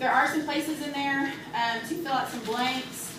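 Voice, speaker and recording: Audible room echo and noticeable background noise surround a woman's high-pitched voice, which has ordinary pitch variation. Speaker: workplace trainer. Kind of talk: training presentation. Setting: meeting room with live audience. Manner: fast.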